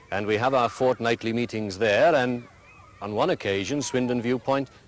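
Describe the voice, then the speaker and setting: A man with a Welsh accent at medium pitch and a moderate pace. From Wales. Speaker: school headmaster. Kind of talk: interview.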